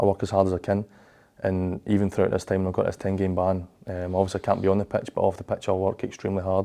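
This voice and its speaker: A man with a Glaswegian accent speaks at a very fast pace in a very deep, low pitch with a dark, mellow tone. His intonation is monotone and flat, and the background is quiet. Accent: Glaswegian Scottish. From Scotland, Glasgow. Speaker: professional footballer. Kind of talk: interview. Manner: halting, frequent fillers and repeats.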